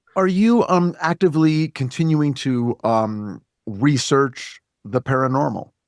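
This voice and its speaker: Speaking at a fairly slow pace in an unremarkable speaking voice, a man with a fairly high pitch uses lively intonation and very even loudness, the sound dry and close with no echo. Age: 50s. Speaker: podcast host. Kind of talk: casual interview chat.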